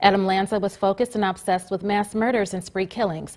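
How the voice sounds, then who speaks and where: A woman talks at a fairly quick pace in an ordinary speaking voice of medium pitch. The recording is very clean, with a silent background. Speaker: reporter and news anchor. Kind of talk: TV studio newscast read.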